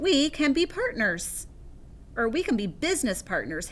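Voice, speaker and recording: Someone does a put-on character voice at a moderate pace over clear background noise. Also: woman, high pitch for a woman. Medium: read story. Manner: friendly, persuasive.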